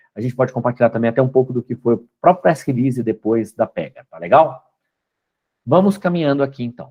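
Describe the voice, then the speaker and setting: An ordinary speaking voice moves at a fairly quick pace, with lively intonation and big swings in loudness. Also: man, medium pitch for a man. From Brazil, Belo Horizonte. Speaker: company co-founder and guest lecturer. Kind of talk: lecture.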